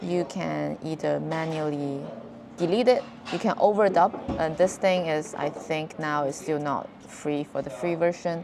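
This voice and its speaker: A woman with a non-native accent speaks at a fairly slow pace in a very deep, low voice. Her pitch varies in an ordinary way against noticeable background noise. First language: not English. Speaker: video creator. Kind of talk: tutorial. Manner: casual, halting with repeated words.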